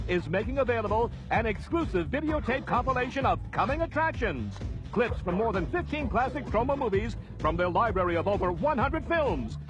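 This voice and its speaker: With music playing behind him, a man talks at a fairly quick pace and keeps his loudness very even. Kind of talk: infomercial announcer read.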